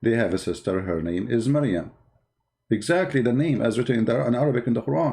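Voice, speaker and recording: A man's somewhat breathy, medium-pitched voice with a dark, mellow tone, over a quiet background. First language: not English. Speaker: online religious debater. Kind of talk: polemical video commentary. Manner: animated.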